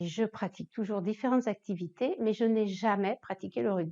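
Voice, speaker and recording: A woman's fairly high voice has a dark, mellow tone, recorded with a dry, close sound and no echo. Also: quiet background. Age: 60s. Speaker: club treasurer. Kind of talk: interview.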